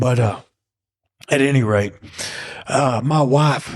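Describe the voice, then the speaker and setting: With a slight East Texas accent, a man speaks at medium pitch with lively intonation in a dry, close sound without echo. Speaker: falconer. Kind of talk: casual interview storytelling. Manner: animated.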